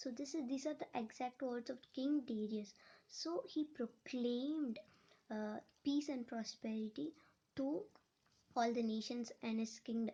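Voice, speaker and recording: Using a Telugu accent, a woman speaks slowly at a high pitch with a dark, mellow tone and long, frequent pauses. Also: ordinary pitch variation. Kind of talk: personal testimony. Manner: halting, many repetitions and restarts.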